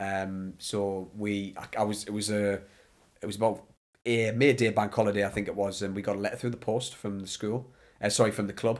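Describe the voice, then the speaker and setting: A man with a northeast English accent speaks at a fairly quick pace in a flat monotone with a fairly low pitch, recorded very cleanly against a silent background. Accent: north-east English. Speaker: ex goalkeeper and goalkeeper coach. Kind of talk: podcast interview. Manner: loud.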